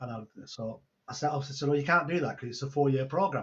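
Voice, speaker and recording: Speaking at a fairly quick pace, a man with a Manchester accent has a fairly high, somewhat breathy voice with ordinary pitch variation. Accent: Greater Manchester English. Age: 60s. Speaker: online entrepreneur and mentor. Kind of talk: casual interview chat. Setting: video call.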